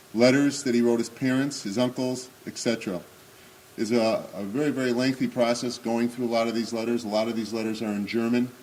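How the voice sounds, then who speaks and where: Medium pitch from a man, monotone, flat intonation at a fairly quick pace, over noticeable background noise. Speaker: guest speaker. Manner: halting.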